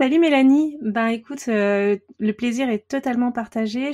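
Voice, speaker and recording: A woman with fairly high pitch and ordinary pitch variation speaks in a dark, mellow tone. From Paris region, France. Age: 30s. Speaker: watercolour artist. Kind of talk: casual interview chat. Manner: hesitant, many fillers.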